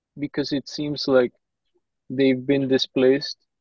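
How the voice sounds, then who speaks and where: A man's dark, mellow tone comes through with a dry sound, no echo and a quiet background. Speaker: meeting participant; interviewer asking questions. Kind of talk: casual chat. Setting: video call. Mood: polite, thoughtful. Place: office. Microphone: earbuds.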